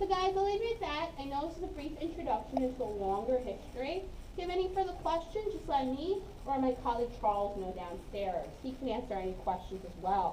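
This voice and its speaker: Her high pitch swinging very widely, a woman talks at a fairly quick pace amid noticeable background noise and audible room echo. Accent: American. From Brooklyn, New York. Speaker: museum tour guide. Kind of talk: guided tour talk. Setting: museum submarine tour with a group.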